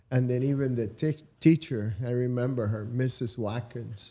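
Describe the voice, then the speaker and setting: At a moderate pace, a man speaks in a dark, mellow tone with medium pitch and fairly even intonation. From Cuba. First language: Spanish. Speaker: radiology professional, mentor. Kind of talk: casual interview chat.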